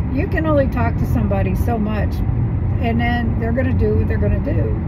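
Loud background noise is present throughout. Over it, a woman speaks at a moderate pace. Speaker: vlogger. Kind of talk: casual vlog chat. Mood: mildly annoyed, reflective. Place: car. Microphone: phone near.

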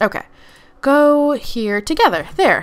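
A woman speaks at a slow pace. Her intonation is lively.

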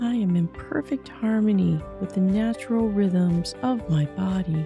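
A woman's words come out very slowly. Music sounds behind her. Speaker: meditation guide. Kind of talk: guided meditation affirmations. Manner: upbeat.

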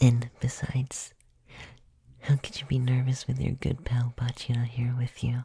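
A soft-spoken voice with a playful tone, talking at a fairly slow pace. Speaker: voice actor playing a comforting character. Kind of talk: roleplay audio addressed to the listener at bedtime. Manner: soft, playful, close ASMR voice.

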